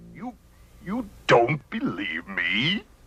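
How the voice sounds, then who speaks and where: Pitched high, a man performs a cartoonish character voice. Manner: boastful, bellowing, laughing.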